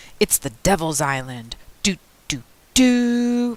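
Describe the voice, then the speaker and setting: A put-on character voice sits at a middle pitch and makes very wide pitch swings. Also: fairly slow pace. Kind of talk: radio announcer. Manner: spooky.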